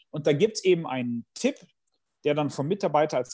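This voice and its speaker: On a very clean recording with a silent background, a man with a dark, mellow tone and fairly high pitch talks at a fairly quick pace with lively intonation. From Bielefeld, Germany. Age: 40s. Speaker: management professor and consultant. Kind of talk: interview conversation.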